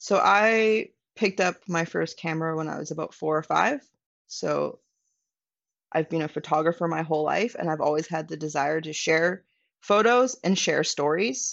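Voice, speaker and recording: Speaking in a western Canadian accent, a woman with a fairly low pitch talks at a moderate pace with ordinary pitch variation. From Canada, British Columbia (Vancouver Island). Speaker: van dweller and photographer. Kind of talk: casual interview chat.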